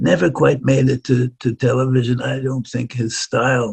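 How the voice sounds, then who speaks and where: A man with an American accent, medium pitch, ordinary pitch variation, a somewhat breathy quality and a moderate pace, in a dry, close sound with no echo. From New York City (Far Rockaway, Queens). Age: 90s. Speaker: violinist. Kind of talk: interview.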